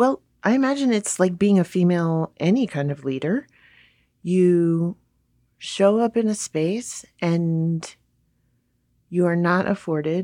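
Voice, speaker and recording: A woman's dark, mellow voice with lively intonation, dry and close with no echo. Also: very clean recording, silent background. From Hawaii. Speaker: pastor. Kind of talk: interview.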